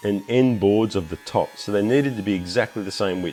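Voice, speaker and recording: Over noticeable background noise, a man with an Australian accent speaks with ordinary pitch variation. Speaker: woodworking YouTuber. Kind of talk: tutorial narration.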